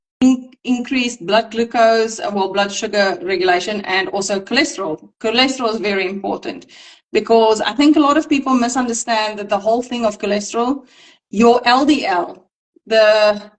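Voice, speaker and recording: A woman's fairly high voice with a non-native accent, moderate pace and ordinary pitch variation. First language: not English. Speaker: nutrition practitioner. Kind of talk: casual educational discussion. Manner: halting.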